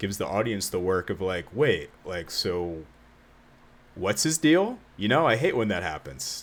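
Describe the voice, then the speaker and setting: A man's fairly low voice with very wide pitch swings at a fairly slow pace. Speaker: video game streamer. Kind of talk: casual live stream chat while opening card packs. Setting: live stream. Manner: halting, fumbling words.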